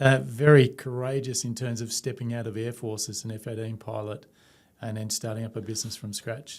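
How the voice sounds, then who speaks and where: In a very clean recording with a silent background, a man with an Australian accent talks at a medium pitch with fairly even intonation. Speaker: company CEO. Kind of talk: interview.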